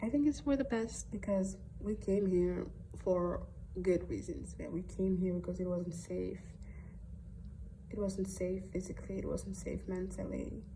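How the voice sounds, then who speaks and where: A woman with a Somali accent talks at a fairly slow pace with long, frequent pauses, and audible room echo surrounds her voice. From Netherlands (arrived from Somalia at six). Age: 20s. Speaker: student teacher. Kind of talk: school assignment podcast monologue. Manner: hesitant, many fillers.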